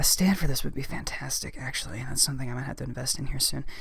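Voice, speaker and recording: A woman speaks with an American accent and ordinary pitch variation. Room echo is audible. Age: 30s. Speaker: ASMR YouTuber. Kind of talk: casual Q&A monologue. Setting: home, outside recording room. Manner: rambling with fillers.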